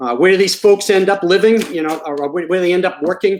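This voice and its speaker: The speaker is a man with an American accent. Pitch moves up and down an ordinary amount. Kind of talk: presentation. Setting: video call. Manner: fast; halting, many fillers.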